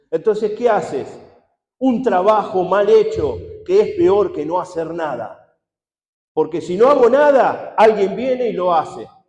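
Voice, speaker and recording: Lively intonation at a fairly slow pace, with audible room echo. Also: man, high pitch for a man. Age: 60s. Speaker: pastor. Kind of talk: sermon.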